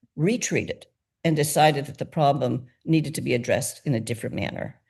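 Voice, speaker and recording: A woman speaks at a very fast pace in a very deep, low voice, somewhat breathy, with ordinary pitch variation and big swings in loudness. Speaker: nonprofit founder. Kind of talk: interview.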